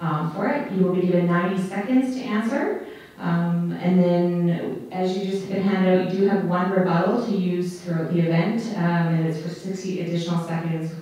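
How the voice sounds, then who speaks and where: Strong room echo surrounds a woman speaking at a moderate pace. She has ordinary pitch variation and hardly any pauses. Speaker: debate moderator. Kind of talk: event moderation explaining format. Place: stage.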